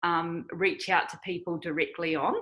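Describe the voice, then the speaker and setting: A woman talks with a New Zealand accent. Her pace is moderate. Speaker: online evangelism missionary. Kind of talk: interview.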